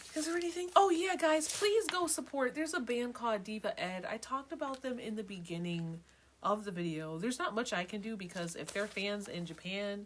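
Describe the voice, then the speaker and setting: Over noticeable background noise, a woman speaks fairly quickly in an animated tone, her fairly high pitch making very wide swings. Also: hardly any pauses. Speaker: livestream host / music vlogger. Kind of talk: casual chat.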